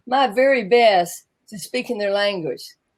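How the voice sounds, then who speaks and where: With a Southern US accent, a woman speaks in a high voice with lively intonation. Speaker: business coach. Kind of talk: interview.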